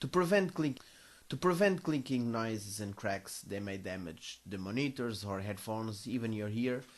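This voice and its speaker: Lively intonation from a man at medium pitch with a Portuguese accent. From Portugal, Coimbra. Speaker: music tutorial maker. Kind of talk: tutorial. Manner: careful, deliberate; halting.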